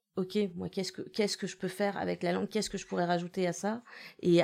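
A woman of medium pitch in a monotone, flat intonation, on a very clean recording with a silent background. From Western Europe, born in Russia. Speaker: poet and translator. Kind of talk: interview.

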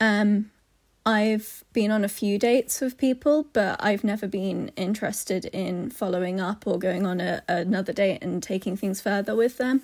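A woman at medium pitch with ordinary pitch variation and a moderate pace, in a very clean recording with a silent background. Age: 20s. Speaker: listener sending a question. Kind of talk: recorded voice message. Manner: hesitant, many fillers.

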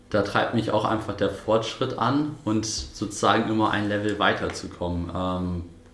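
A man's fairly low-pitched voice with fairly even intonation and audible room echo. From northern Germany, Buchholz. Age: 20s. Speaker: drone repair entrepreneur. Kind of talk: interview.

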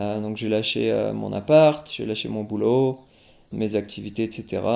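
The voice belongs to a man. It has a medium pitch and a dark, mellow tone. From France. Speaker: singer. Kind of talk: interview.

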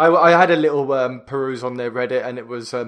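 A man at a very fast pace, medium pitch and fairly even intonation. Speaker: podcast co-host. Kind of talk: casual chat.

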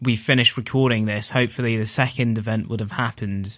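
Over a very clean recording with a silent background, a man speaks at a moderate pace in a medium-pitched, bright, sharp voice with fairly even intonation. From East London. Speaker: poet. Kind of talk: poetry reading and casual interview chat.

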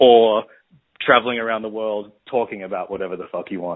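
A man talks fairly quickly at medium pitch in an unremarkable speaking voice. His intonation stays fairly even. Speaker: interviewer. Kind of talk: casual interview. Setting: phone call.

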